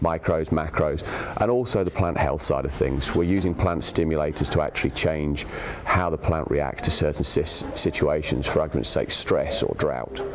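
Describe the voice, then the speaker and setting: Against noticeable background noise, a man with an English accent speaks at a very deep, low pitch, with very even loudness and hardly any pauses. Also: ordinary pitch variation, moderate pace. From England. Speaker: agronomist. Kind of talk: interview answer.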